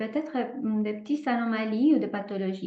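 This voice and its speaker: A woman's high-pitched voice with a non-native accent, fairly slow pace, ordinary pitch variation, and audible room echo. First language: not French (speaking French). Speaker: holistic therapist. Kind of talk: presentation with guided exercise. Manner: hesitant, many fillers.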